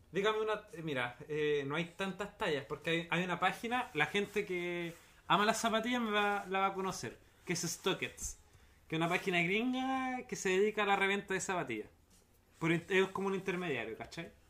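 A man with a Chilean accent speaks in a raised, projected voice, high-pitched with ordinary pitch variation. His tone is bright and sharp, and his pace is moderate. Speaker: podcast co-host. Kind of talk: casual chat.

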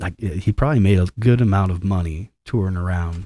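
In a very clean recording with a silent background, a man talks at a moderate pace in a very deep, low voice with a dark, mellow tone, the sound dry and close with no echo. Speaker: podcast host. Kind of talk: casual chat. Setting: studio. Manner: joking, casual.

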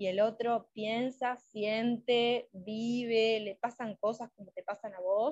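Recorded dry and close with no echo, a woman speaks at a fairly high pitch. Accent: Uruguayan. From Uruguay. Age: 20s. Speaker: psychologist. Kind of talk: interview.

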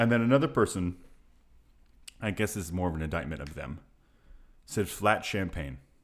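In a very clean recording with a silent background, a man speaks at a very deep, low pitch with vocal fry. His intonation is lively at a moderate pace, broken by long, frequent pauses. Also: big swings in loudness. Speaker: podcast co-host. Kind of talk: casual chat.

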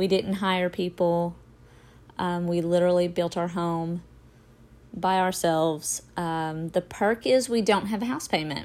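On a very clean recording with a silent background, a woman with an ordinary speaking voice talks at a fairly slow pace and a fairly low pitch, using fairly even intonation. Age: 40s. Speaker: podcaster. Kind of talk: casual monologue.

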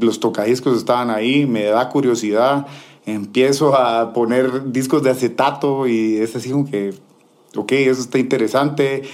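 A man's ordinary speaking voice at medium pitch, with fairly even intonation and a moderate pace. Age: 30s. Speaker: DJ. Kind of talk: casual interview.

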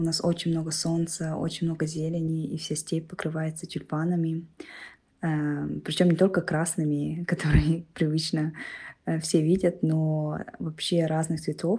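A woman's fairly low, somewhat breathy voice with a dark, mellow tone and monotone, flat intonation. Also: fairly slow pace. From Kalmykia, Russia. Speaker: listener sending voice message. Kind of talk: personal recollection.

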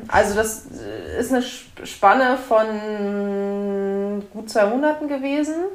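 Her voice fairly high, a woman speaks at a very slow pace with audible room echo. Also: ordinary pitch variation. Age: 30s. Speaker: author and social worker, mother. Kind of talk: interview.

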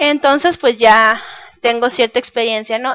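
Recorded very cleanly against a silent background, a woman speaks with ordinary pitch variation in a dry, close sound with no echo. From Mexico, Baja California (Mexicali). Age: 30s. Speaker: podcast host, cartoonist and cultural manager. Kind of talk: casual monologue podcast.

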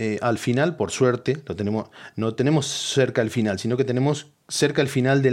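A man with a Rioplatense accent, medium pitch and ordinary pitch variation, at a fairly quick pace against a quiet background. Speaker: podcast host. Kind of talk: casual comedic monologue. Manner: animated.

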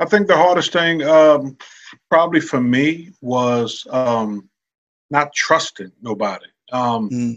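A man with an American accent speaks in an ordinary speaking voice, fairly high-pitched, at a fairly slow pace with lively intonation over a quiet background. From Brooklyn, New York, then Virginia as a teen. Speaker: veterans benefits specialist, army veteran and minister. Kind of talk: casual interview.

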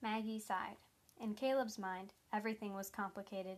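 The clip features a natural reading voice from start to finish.

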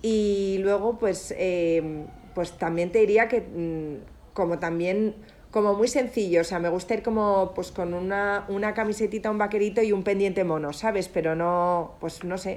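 Using a plain, everyday voice, a woman speaks fairly slowly at a medium pitch with fairly even intonation. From Spain. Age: 30s. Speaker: entrepreneur and former influencer. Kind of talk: interview.

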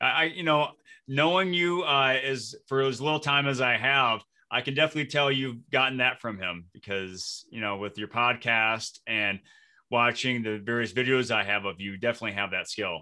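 This man has an ordinary speaking voice and an American accent at a medium pitch. He speaks at a moderate pace with lively intonation. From Flint, Michigan. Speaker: podcast host and speaker. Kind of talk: casual interview; scripted outro.

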